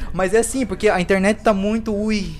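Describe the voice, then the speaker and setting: A man talks at a fairly quick pace in an animated tone. Noticeable background noise sits behind him. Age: 20s. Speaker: comedian and video creator. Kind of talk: casual interview chat.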